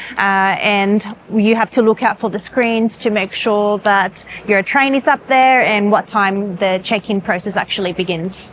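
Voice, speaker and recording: A woman speaks with ordinary pitch variation in an ordinary speaking voice. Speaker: travel vlogger. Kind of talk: casual vlog narration. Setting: train station business lounge.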